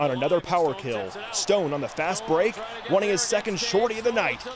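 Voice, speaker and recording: A high-voiced man talks at a moderate pace, with noticeable noise behind him. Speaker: sports reporter. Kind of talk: TV sports news highlight recap, scripted. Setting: TV news package voiceover. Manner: punchy, upbeat, energetic broadcast delivery.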